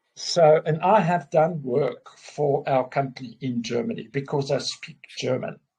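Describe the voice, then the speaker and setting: A man with a South African accent speaks at a fairly slow pace in a somewhat breathy, dark, mellow tone with lively intonation. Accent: Afrikaans South African English. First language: Afrikaans. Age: 50s. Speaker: businessman. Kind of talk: casual chat. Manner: halting.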